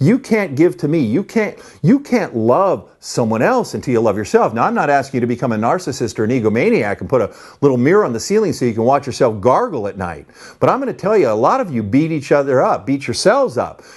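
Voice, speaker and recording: A man talks very fast in an animated tone, his fairly high pitch making very wide swings. The background is quiet. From California, Los Angeles. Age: 60s. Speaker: motivational speaker. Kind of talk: motivational speech. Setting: home study, recorded video.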